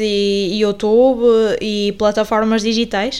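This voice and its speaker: The intonation of this woman's voice stays fairly even. Her pitch sits fairly high. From northern Portugal, Paredes (Porto). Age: 20s. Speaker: podcast host and journalism student. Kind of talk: casual podcast introduction. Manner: hesitant, many fillers and repetitions.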